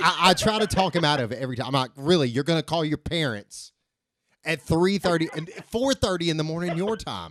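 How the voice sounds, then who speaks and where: Speaking at a fairly quick pace in an Alabama accent, a man with a high voice uses lively intonation. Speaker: podcast guest. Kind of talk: casual chat.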